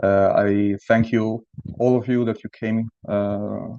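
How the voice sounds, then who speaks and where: A man with an Italian accent speaks at a fairly low pitch. His intonation is monotone and flat. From Italy, Friuli region. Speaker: cellist and lecturer. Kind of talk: lecture. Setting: video call. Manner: halting.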